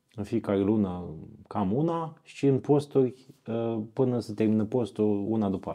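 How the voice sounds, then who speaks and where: At a moderate pace, an unremarkable speaking voice shows ordinary pitch variation. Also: man, fairly low pitch for a man. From Romania, Iași (Moldavia). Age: 40s. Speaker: fasting camp organizer, former journalist. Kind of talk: casual interview. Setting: monastery.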